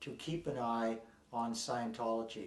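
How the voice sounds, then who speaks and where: A man at a very slow pace, with audible room echo. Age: 60s. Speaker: ex-member activist interviewee. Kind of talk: documentary interview. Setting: on location in Dublin. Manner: halting, with repeated words and fillers.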